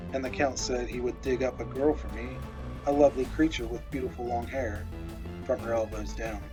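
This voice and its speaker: A man speaks in a very deep, low voice with very wide pitch swings. Music is playing in the background. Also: fairly quick pace. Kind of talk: horror story narration.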